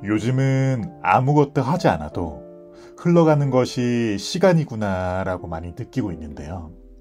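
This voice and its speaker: Over music in the background, a man at medium pitch speaks at a fairly slow pace, with very wide pitch swings and big swings in loudness. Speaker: book reader / ASMR narrator. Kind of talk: casual talk to listeners.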